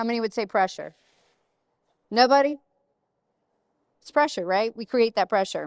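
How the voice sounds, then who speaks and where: An animated woman at a fairly high pitch and moderate pace, with ordinary pitch variation, long, frequent pauses and big swings in loudness, on a very clean recording with a silent background and a dry, close sound with no echo. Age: 50s. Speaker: real estate panel speaker. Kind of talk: panel talk to live audience.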